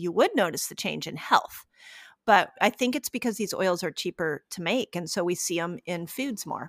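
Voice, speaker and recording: A woman with an unremarkable speaking voice talks at medium pitch and a moderate pace, with lively intonation and big swings in loudness. The recording is very clean and dry, close with no echo, over a silent background. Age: 50s. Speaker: fasting and health expert. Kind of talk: interview.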